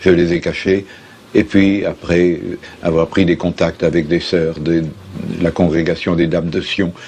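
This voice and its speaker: Over noticeable background noise, a man with a very deep, low pitch speaks fairly slowly in a monotone, flat delivery, leaving long, frequent pauses. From France, Lyon. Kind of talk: interview answer.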